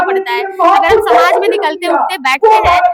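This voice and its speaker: The speaker is a woman, talking at a moderate speed. Her pitch rises and falls over a very wide range. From eastern Uttar Pradesh, Kushinagar. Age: young. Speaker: poet and activist. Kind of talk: interview. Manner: hesitant, many filler sounds.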